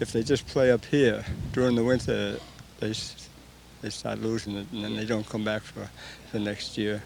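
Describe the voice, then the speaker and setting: There is noticeable background noise behind this man's fairly low voice. He leaves long, frequent pauses. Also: ordinary pitch variation, moderate pace. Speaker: senior softball player. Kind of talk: interview.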